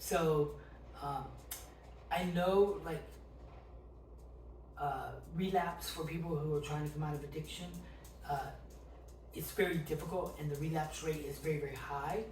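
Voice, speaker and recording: A man speaks at a fairly slow pace, stopping often for long pauses. Noticeable background noise sits behind his voice. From South Carolina, US. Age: 50s. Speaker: recovering addict. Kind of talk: interview answer.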